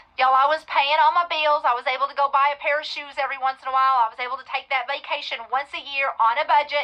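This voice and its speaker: A woman speaks with a Texan accent, her voice high-pitched, raised and projected. Her tone is bright and sharp, and her pace is fairly quick. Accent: Texan US Southern. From West Texas. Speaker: real estate investor and coach. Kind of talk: webinar presentation.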